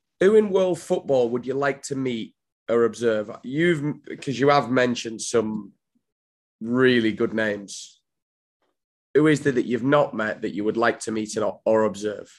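In an ordinary speaking voice, a man talks at a fairly slow pace with medium pitch and ordinary pitch variation. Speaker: podcast host. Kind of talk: interview.

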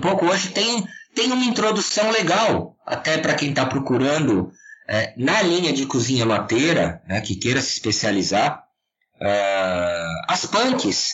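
A man at a moderate pace, loudness very even, pitch swinging very widely. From São Paulo state, Serra da Cantareira. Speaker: chef and food researcher. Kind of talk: interview.

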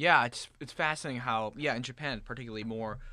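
A bright, sharp tone at a very fast pace, in a very clean recording with a silent background. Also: man. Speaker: student podcast host. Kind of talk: interview. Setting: studio.

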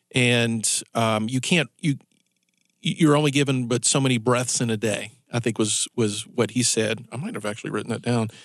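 A plain, everyday voice from a man, middle-pitched and at an even, moderate speed. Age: 40s. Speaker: radio talk show host. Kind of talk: live talk radio patter leading into a commercial break, teasing the next segment. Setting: radio studio, broadcast live on air and Facebook Live. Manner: loose, conversational, with repeated words and self-restarts; chuckling, upbeat teaser delivery.

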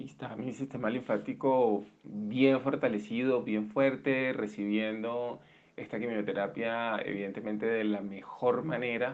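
At a fairly slow pace, a man talks at a medium pitch with fairly even intonation. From Colombia, Barranquilla (Caribbean coast). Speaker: interviewee sharing illness story. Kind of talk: personal testimony. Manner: halting, many repetitions and fillers.

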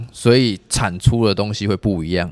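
An ordinary speaking voice moves at a moderate pace with ordinary pitch variation, in a dry, close sound with no echo. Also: man. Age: 20s. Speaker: traditional massage therapist. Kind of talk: casual interview.

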